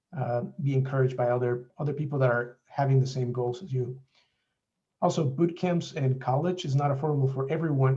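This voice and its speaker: A man's somewhat breathy, dark, mellow voice at a fairly quick pace. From Mexico. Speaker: software developer. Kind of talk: presentation.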